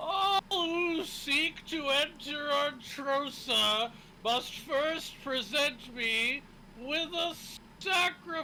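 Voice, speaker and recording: Clear background noise sits behind a high, put-on character voice speaking at a very slow pace. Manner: ominous, slow, commanding.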